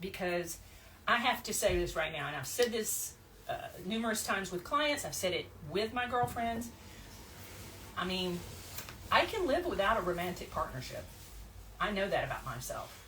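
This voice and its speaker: In an American accent, a woman of medium pitch speaks at a moderate pace with very wide pitch swings and long, frequent pauses. Noticeable background noise and audible room echo surround her. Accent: Southern, less pronounced than before. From US South, Blount County, Alabama. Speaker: podcast host, psychotherapist and coach. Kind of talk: casual chat. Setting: podcast recording with two guests.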